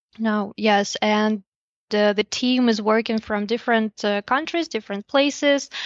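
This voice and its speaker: A woman with a Russian accent speaks at a fairly slow pace. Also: fairly high pitch for a woman, ordinary pitch variation. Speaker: investor relations specialist at a lending platform. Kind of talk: interview.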